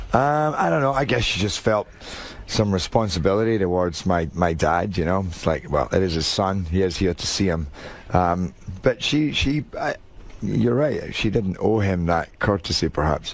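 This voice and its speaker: With a strong Scottish accent, a man talks at a moderate pace. His pitch is very deep and low, and his intonation is lively. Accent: thick Scottish. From Scotland. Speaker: actor. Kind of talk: radio interview. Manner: halting.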